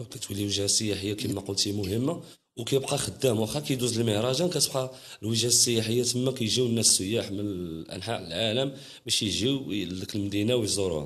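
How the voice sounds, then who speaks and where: A man speaks at a fairly quick pace with medium pitch and ordinary pitch variation, set in audible room echo. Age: young. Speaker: Gnawa master musician. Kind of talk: interview. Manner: halting.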